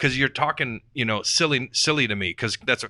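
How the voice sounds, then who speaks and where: Bright and sharp in tone, a man speaks with ordinary pitch variation in a dry, close sound with no echo, on a very clean recording with a silent background. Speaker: real estate investor. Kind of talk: podcast panel discussion. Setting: studio. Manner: fast; animated.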